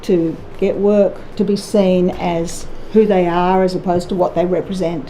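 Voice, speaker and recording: Fairly slow, fairly even speech from a woman at medium pitch, with audible room echo and noticeable background noise. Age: 60s. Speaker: musician. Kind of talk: testimony. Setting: public inquiry hearing.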